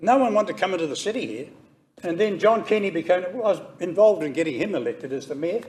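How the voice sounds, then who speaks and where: A man in a New Zealand accent speaks very fast. His intonation is lively. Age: 80s+. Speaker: member of the public making a submission. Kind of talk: public hearing submission.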